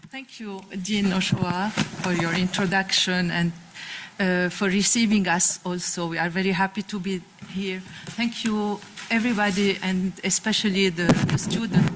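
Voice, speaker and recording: A woman talks in a monotone, flat intonation at a moderate pace, with noticeable background noise behind her. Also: medium pitch for a woman. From Lebanon. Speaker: constitutional judge. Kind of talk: panel discussion. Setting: conference with audience. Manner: halting, many fillers; partly reading aloud.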